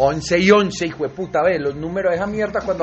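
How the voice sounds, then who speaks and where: Over music in the background, a man talks fairly quickly in a high pitch with ordinary pitch variation. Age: 40s. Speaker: podcast host. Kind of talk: casual chat.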